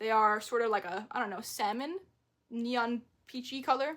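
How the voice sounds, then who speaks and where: An animated woman with an American accent speaks at a high pitch with ordinary pitch variation, on a very clean recording with a silent background. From New York. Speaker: thrift haul vlogger. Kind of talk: casual haul video monologue. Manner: fast.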